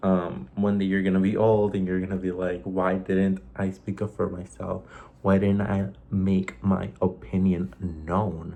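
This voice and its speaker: A man with a slight Mexican accent, fairly slow, very deep and low, dark and mellow in tone, with fairly even intonation. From Mexico. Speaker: vlogger. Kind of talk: casual monologue vlog.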